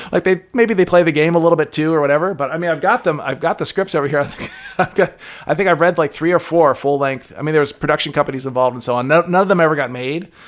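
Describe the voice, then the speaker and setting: A man with a fairly high pitch races along at a very fast pace through noticeable background noise. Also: ordinary pitch variation. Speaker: game developer. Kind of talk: casual interview chat. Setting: podcast recording. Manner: chipper, goofy and laughy.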